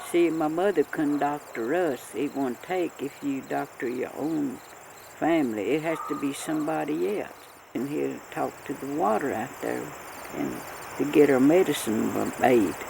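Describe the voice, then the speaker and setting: With a Southern Appalachian accent, a woman speaks at a fairly slow pace in a very deep, low pitch with ordinary pitch variation, over noticeable background noise. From Western North Carolina, Appalachia. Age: 80s+. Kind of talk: oral history interview answer.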